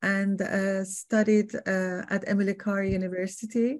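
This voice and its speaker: In a Persian accent, a woman speaks at a very slow pace with a monotone, flat intonation against a quiet background. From Iran. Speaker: artist and art educator. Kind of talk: artist talk interview. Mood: warm, reflective. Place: home room. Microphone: webcam.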